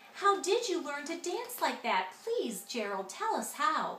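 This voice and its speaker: A woman puts on a character voice at an extremely high pitch with very wide pitch swings, speaking at a fairly slow pace with slight echo and clear background noise. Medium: read story.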